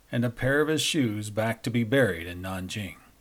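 A man with a normal speaking voice talks at a moderate pace with lively intonation. The recording is very clean, with a silent background. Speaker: news anchor and podcast host. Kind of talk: history documentary narration, scripted. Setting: studio podcast. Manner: measured, formal, steady; even-paced, authoritative storytelling.

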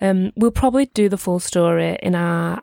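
In a close, dry recording with no echo, a woman with a strong Merseyside accent speaks at a medium pitch in a dark, mellow tone. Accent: strong northwest English, Merseyside. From Merseyside, northwest England. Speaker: podcast co-host. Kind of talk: casual chat between friends. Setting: video call, recorded remotely, in London.

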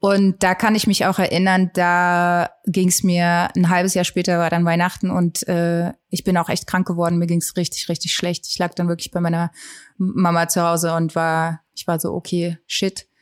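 A woman talks at a moderate pace with a fairly low pitch and monotone, flat intonation. The recording is very clean, with a silent background and a dry, close sound with no echo. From Saxony, Germany (Geithain near Leipzig). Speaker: singer-songwriter. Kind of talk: casual interview.

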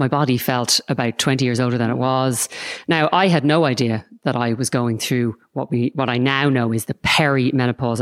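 With an Irish accent, a woman speaks in a very deep, low pitch with fairly even intonation and very even loudness, recorded very cleanly against a silent background with a dry, close sound and no echo. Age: 40s. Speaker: podcast host and Pilates teacher. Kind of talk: interview conversation.

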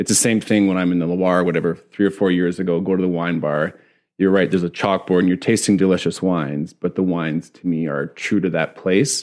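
With a Canadian Prairies accent, a man with a very deep, low pitch speaks at a fairly quick pace and fairly even intonation, on a very clean recording with a silent background. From Saskatchewan, Canada. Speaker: winemaker. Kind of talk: casual chat.

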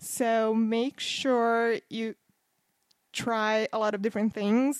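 With a Portuguese accent, a woman speaks at a fairly high pitch in a monotone, flat intonation, the sound dry and close with no echo on a very clean recording with a silent background. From Brazil, Campinas near São Paulo. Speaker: podcast guest, Brazil travel expert. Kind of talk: casual chat.

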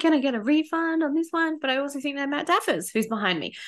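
A high-pitched woman with an Australian accent, animated in tone, with very wide pitch swings. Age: 30s. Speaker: podcast host, spiritual development coach. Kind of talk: casual solo podcast monologue.

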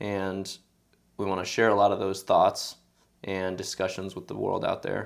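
A man in an American accent at a moderate pace, with long, frequent pauses, in a very clean recording with a silent background. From Sacramento, California, US. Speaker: podcast host and amateur soccer coach. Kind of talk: casual chat.

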